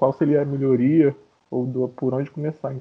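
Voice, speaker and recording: A man talks at a fairly quick pace. His voice is fairly high-pitched. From Baixada Fluminense, Rio de Janeiro (Duque de Caxias). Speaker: business administrator, podcast co-host. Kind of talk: casual discussion. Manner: halting, repeats words.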